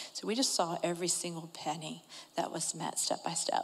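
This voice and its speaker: Noticeable background noise accompanies this recording. A woman speaks at a fairly quick pace in a fairly low voice. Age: 40s. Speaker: adoptive mother. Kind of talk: testimony.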